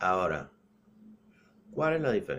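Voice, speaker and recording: A man is speaking. His pace is fairly slow. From Cuba. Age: 60s. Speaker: political commentator. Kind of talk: political monologue. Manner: halting, with repeated words.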